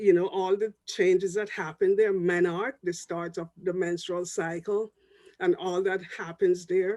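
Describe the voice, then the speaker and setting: Delivered with a Jamaican accent, the speech moves at a fairly slow pace. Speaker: public health professor. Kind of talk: panel discussion talk.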